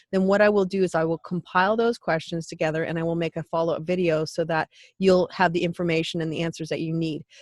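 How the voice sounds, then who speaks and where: With a dry, close sound and no echo, a woman talks very fast in a fairly low pitch. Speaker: human design teacher and YouTuber. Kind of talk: course announcement to camera. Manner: unscripted, self-correcting.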